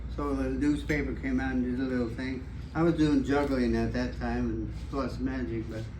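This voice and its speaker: A man speaks with an American accent at a moderate pace. Audible room echo and noticeable background noise are present. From US Midwest, Indianapolis. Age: 90s. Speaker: magician. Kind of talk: storytelling. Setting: club meeting with small audience. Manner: halting, with frequent fillers.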